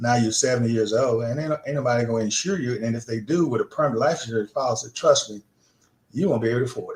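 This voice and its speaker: A man with a medium pitch talks very fast and somewhat breathy, with ordinary pitch variation. His loudness swings widely. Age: 70s. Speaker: insurance agent. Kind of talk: radio interview. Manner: casual, conversational.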